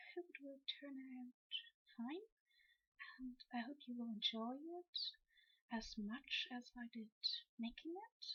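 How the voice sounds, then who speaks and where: Soft-spoken delivery at a very slow pace. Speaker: cosplayer. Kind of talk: ASMR costume walkthrough. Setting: old headset recording.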